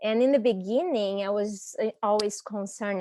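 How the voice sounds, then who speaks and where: A woman speaks with a Brazilian Portuguese accent, her pitch fairly high. Her tone is dark and mellow, and her intonation fairly even. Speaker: language teacher, panelist. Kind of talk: panel discussion. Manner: halting.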